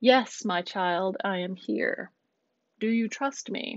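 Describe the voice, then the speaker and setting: A woman uses a put-on character voice that is loud and booming, pitched in the medium range and delivered at a very slow pace. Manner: reassuring, calm.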